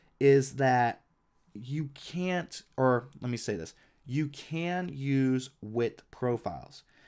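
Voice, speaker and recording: The man speaks at a medium pitch. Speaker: freelance illustrator and designer, YouTuber. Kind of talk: software tutorial. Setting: home recording with webcam and screen capture.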